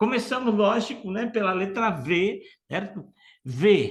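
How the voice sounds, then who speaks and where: With ordinary pitch variation, the man talks fairly slowly in a high pitch. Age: 60s. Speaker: motivational speaker. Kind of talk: online workshop talk. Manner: animated.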